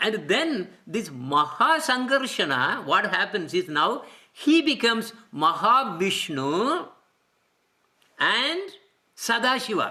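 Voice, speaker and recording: The speech comes at a very slow pace, broken by long, frequent pauses. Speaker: religious teacher. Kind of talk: lecture. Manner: halting.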